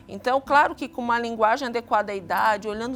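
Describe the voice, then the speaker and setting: A woman's high-pitched voice at a moderate pace, with music in the background. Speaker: psychologist, TV guest expert. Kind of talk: expert explanation on TV talk show.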